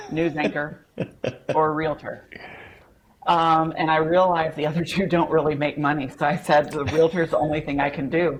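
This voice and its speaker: A woman with a strong Southern US accent talks at a moderate pace in a very deep, low pitch, her intonation fairly even. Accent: Southern twang, strong. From Nashville area, Tennessee. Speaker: real estate agent. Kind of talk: interview.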